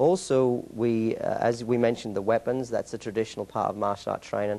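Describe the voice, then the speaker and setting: Against a quiet background, a man with an English accent speaks very fast in a medium-pitched voice with a dark, mellow tone. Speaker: martial arts school owner and instructor. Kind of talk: interview. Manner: halting.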